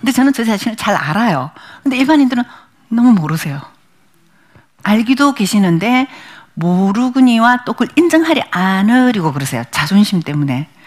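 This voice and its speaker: Leaving long, frequent pauses, a woman with a fairly high pitch speaks in a somewhat breathy voice that makes very wide pitch swings. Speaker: image consultant and lecturer. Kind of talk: lecture. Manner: fast.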